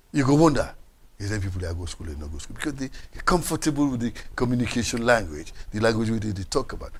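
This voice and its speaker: At a very fast pace, a man with medium pitch and vocal fry shows very wide pitch swings and big swings in loudness. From Sierra Leone. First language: Krio. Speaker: political commentator. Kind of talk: panel discussion. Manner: animated.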